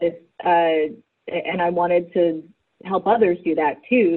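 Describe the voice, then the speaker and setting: A woman with a fairly low pitch speaks in a normal speaking voice at a fairly slow pace, with ordinary pitch variation. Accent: American. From Virginia, US South. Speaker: writer and fan activist. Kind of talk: interview.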